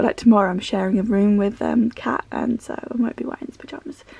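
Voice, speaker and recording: The voice races along at a very fast pace with ordinary pitch variation, in a dry sound with no echo. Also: woman. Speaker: vlogger. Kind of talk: casual vlog chat. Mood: cheerful, laughing. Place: home room.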